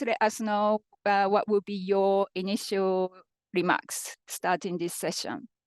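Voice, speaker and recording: A woman with a Japanese accent speaks at a fairly slow pace. The sound is dry and close with no echo, over a quiet background. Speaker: panel moderator. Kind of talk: moderating a panel discussion.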